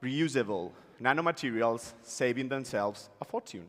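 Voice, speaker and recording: Over a very clean recording with a silent background, a man with a Spanish accent speaks at a medium pitch and a fairly slow pace. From Spain. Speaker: startup founder. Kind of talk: pitch presentation. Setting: stage with audience.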